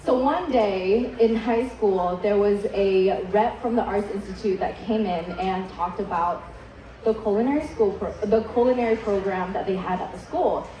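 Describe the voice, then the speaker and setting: A woman with a Vietnamese accent talks at a moderate pace and medium pitch with ordinary pitch variation, amid audible room echo and noticeable background noise. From Vietnam, moved to US at eight. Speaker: chef. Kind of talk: keynote speech.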